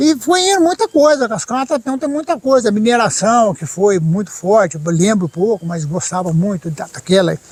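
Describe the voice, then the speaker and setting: At a moderate pace, the voice moves through very wide pitch swings, with a dry, close sound free of echo and noticeable background noise. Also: man, high pitch for a man. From Brazil, São Paulo–Minas Gerais border. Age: 60s. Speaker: sculptor and storyteller. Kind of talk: interview, casual storytelling.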